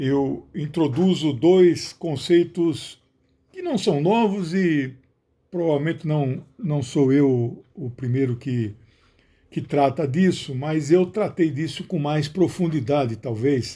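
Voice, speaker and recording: In a very clean recording with a silent background, a man speaks very slowly in a fairly high, somewhat breathy voice with a dark, mellow tone and ordinary pitch variation. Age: 60s. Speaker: sociologist and author. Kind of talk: book announcement monologue. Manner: some hesitations and restarts.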